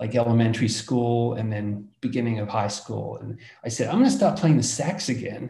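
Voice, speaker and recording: A man with an Australian accent speaks at a medium pitch, his tone dark and mellow and somewhat breathy. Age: 60s. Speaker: entrepreneur. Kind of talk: casual interview.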